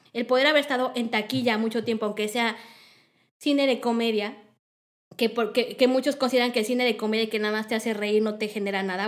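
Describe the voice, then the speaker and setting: A fairly high-pitched woman's voice with a Mexican accent, at a very fast pace. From Mexico. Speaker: film industry organizer. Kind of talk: interview.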